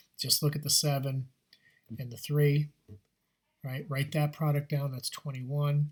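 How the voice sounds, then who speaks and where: Pitched fairly high, a man speaks in a monotone, flat intonation. His voice is somewhat breathy, with long, frequent pauses. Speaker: math teacher. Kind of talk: tutorial. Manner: fast; casual, with fillers.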